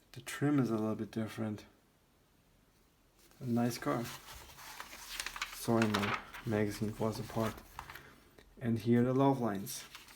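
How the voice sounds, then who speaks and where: A man talks at a medium pitch with fairly even intonation and long, frequent pauses. Noticeable background noise is present. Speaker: car magazine collector / YouTuber. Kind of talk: casual commentary flipping through magazine. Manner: slow; halting, hesitant.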